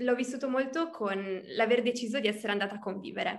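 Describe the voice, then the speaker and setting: Audible room echo surrounds a woman's fairly high voice, which shows ordinary pitch variation. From Emilia-Romagna, Italy (Reggio Emilia). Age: 20s. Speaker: coaching client. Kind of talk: interview testimony. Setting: video call.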